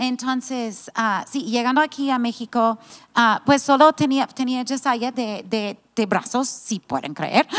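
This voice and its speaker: The speaker talks at a fairly slow pace in an American accent, against a quiet background. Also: woman, high pitch for a woman, ordinary pitch variation. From United States. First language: English (speaking Spanish). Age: 50s. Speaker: pastor's wife and church founder; pastor's wife. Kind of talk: casual chat. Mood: warm, reflective. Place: studio. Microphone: handheld.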